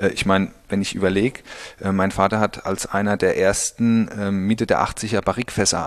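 A man's fairly low voice at a moderate pace with fairly even intonation, in a dry, close sound with no echo. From Pfalz, Germany (Birkweiler). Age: 30s. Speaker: winemaker. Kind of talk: interview. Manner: halting, many fillers.

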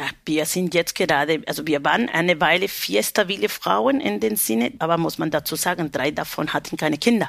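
On a very clean recording with a silent background, a woman with a Spanish accent talks at a fairly quick pace with hardly any pauses. Her very deep, low voice has vocal fry and very wide pitch swings. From Peru, Lima. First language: Spanish (speaking German). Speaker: baker and union representative. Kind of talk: interview.

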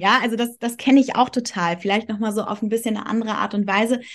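An unremarkable speaking voice belongs to a woman with a fairly high pitch. She keeps her intonation fairly even. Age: 30s. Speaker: astrologer. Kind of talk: casual chat.

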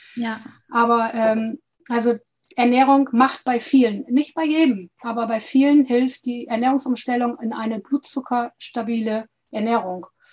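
A woman's high-pitched voice at a fairly slow pace, with fairly even intonation. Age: 50s. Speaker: health and nutrition coach. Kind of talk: interview.

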